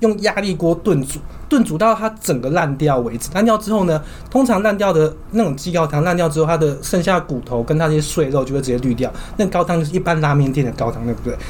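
The speech is very fast, lively in intonation and animated in tone. Background noise is noticeable. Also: man, fairly high pitch for a man. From southern Taiwan. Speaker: podcast co-host. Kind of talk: casual chat.

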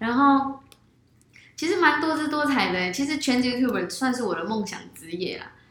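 A woman at a high pitch with very wide pitch swings, big changes in loudness, a moderate pace and noticeable background noise. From Malaysia. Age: 20s. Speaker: YouTuber. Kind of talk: interview.

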